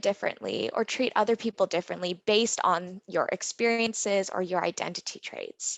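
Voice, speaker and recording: The speaker has a Canadian accent and keeps a moderate pace. The background is quiet and the sound is dry and close with no echo. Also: woman. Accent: very Canadian. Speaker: engineer and workshop facilitator. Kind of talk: interactive workshop presentation. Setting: virtual conference.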